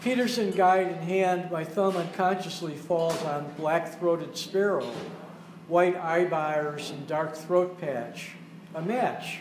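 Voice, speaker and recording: Over noticeable background noise and with audible room echo, a man talks at a fairly slow pace in a high pitch with fairly even intonation. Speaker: poet reading at open mic. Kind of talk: reading aloud. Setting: cafe with audience.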